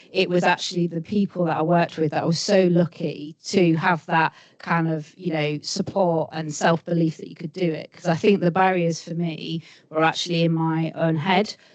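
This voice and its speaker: Her voice sits at a fairly low pitch for a woman, with monotone, flat intonation at a moderate pace. Noticeable background noise runs under the recording. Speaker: senior rail sector leader. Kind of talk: panel discussion.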